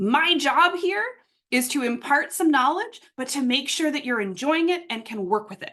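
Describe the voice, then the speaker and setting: Raised and projected, a woman's voice sits at a high pitch with a bright, sharp tone and very wide pitch swings. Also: big swings in loudness. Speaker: workshop facilitator. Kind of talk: online workshop instruction. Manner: fast; animated.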